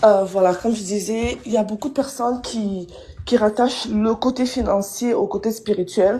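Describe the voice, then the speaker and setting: A woman speaks at a fairly high pitch with a dark, mellow tone. Her voice is somewhat breathy, with ordinary pitch variation and a moderate pace. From Congo. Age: young. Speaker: live stream viewer calling in. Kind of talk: casual chat.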